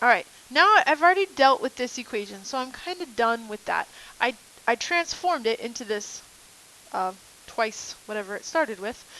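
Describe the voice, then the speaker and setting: Moving at a moderate pace, the voice makes very wide pitch swings and big swings in loudness over noticeable background noise. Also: woman, high pitch for a woman. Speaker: math teacher. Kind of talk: lecture. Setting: recorded video lesson.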